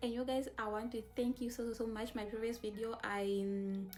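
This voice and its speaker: A woman's fairly high, flat, monotone voice over background music. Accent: non-native. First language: not English. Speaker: travel vlogger. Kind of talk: casual vlog talk to camera. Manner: repetitive, hesitant with fillers.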